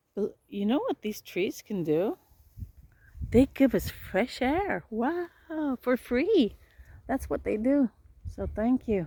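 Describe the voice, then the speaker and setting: A woman speaks in a high voice with a Swedish accent, her pitch swinging very widely. Her pace is very slow, with long, frequent pauses. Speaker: healer. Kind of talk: casual vlog narration while walking. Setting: outdoors.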